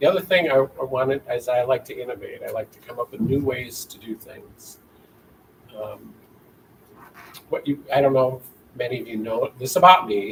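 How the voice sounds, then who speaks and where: A man with a Wisconsin accent speaks at a moderate pace, with long, frequent pauses and big swings in loudness. Noticeable background noise is present. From Minnesota. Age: 60s. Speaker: university chancellor. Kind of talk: interview. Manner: rambling, conversational.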